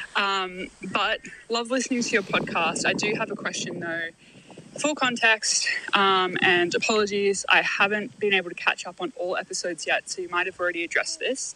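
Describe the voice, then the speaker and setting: Noticeable background noise accompanies a woman of medium pitch speaking at a moderate pace. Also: ordinary pitch variation. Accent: Australian. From Australia. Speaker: listener leaving voicemail. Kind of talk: voicemail message.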